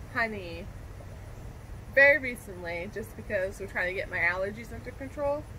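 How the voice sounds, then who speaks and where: Light background noise behind a woman's voice, its pitch varying in an ordinary way. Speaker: vlog co-host. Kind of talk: casual vlog chat. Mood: relaxed, cheerful. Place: garden.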